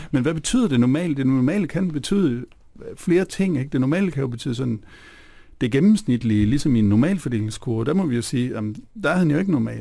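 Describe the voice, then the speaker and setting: A man speaks very fast at a fairly high pitch. His tone is dark and mellow, with lively intonation. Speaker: philosopher. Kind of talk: radio interview. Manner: halting.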